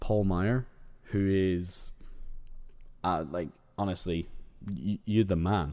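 Speech in an Irish accent comes at a very slow pace with a dark, mellow tone. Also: man, very clean recording, silent background. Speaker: podcast host. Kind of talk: monologue, casual update to listeners. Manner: casual, chatty, repeats emphasis.

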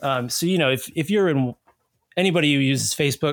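Here is a man with a fairly high pitch and an unremarkable speaking voice. He talks at a fairly quick pace. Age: 30s. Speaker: researcher and reporter on hate groups. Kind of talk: casual interview.

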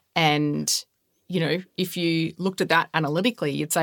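A woman with a fairly low pitch and vocal fry speaks at a moderate pace with fairly even intonation, the sound dry and close with no echo and the recording very clean over a silent background. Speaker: podcast host. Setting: studio.

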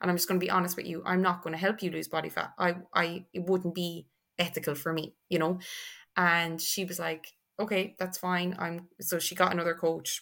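In an Irish accent, a woman speaks at a fairly quick pace and a fairly low pitch, with monotone, flat intonation. Her tone is bright and sharp, on a very clean recording with a silent background. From Ireland, Tipperary. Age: 20s. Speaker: online fitness and nutrition coach. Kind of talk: casual podcast interview.

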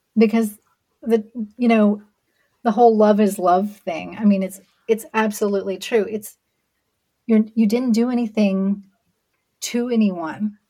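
Pausing long and often, a woman talks at a fairly slow pace in a fairly high, dark, mellow, somewhat breathy voice with fairly even intonation. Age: 40s. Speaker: podcast host, LGBTQ guest. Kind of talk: interview conversation.

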